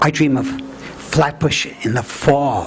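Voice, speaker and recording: A man in a Brooklyn accent, very slow and with very wide pitch swings, against noticeable background noise. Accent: Brooklyn accent, kept. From Brooklyn, New York City. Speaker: storyteller. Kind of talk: storytelling performance. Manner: halting.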